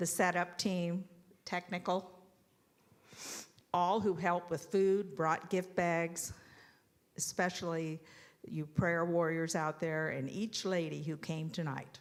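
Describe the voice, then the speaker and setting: In a very clean recording with a silent background, a woman with a fairly low pitch speaks at a very slow pace in a monotone, flat intonation, with long, frequent pauses. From Ontario, Canada. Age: 70s. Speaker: church member sharing life story. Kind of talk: testimony.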